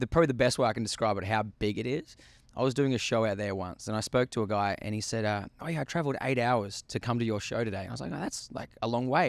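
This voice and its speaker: A man with an Australian accent speaks very fast with ordinary pitch variation, on a very clean recording with a silent background. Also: medium pitch for a man. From Australia, coastal country area. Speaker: country singer. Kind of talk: radio interview. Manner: casual, with fillers.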